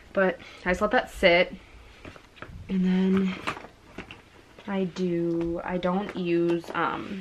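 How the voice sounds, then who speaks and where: A woman at medium pitch, very slow pace, long and frequent pauses, monotone flat intonation, and noticeable background noise. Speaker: beauty vlogger, mom. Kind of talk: makeup tutorial. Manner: casual, rambling with fillers.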